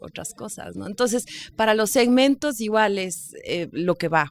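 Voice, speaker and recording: A woman with an unremarkable speaking voice at a fairly slow pace, ordinary pitch variation and a dry, close sound with no echo. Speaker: radio host and journalist. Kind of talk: podcast interview answer, casual conversational talk.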